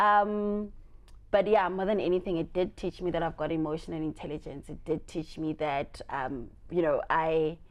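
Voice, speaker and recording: A woman's loud voice with an animated tone. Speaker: entrepreneur. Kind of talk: interview.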